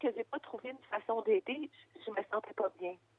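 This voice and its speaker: Her accent is Quebec. This woman's voice sits fairly high. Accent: Québécois French. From Quebec, Gaspésie roots. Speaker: founder of children's radio project. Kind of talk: interview. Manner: hesitant, many fillers.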